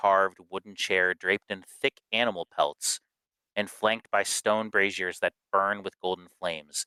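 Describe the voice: Nothing intrudes from the background. What we hear is plain reading aloud.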